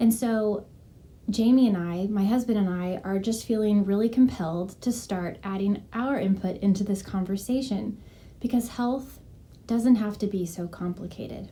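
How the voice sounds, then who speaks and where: A soft-spoken woman at medium pitch, with fairly even intonation and a moderate pace. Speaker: health and wellness coach. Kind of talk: casual vlog talk. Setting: at home.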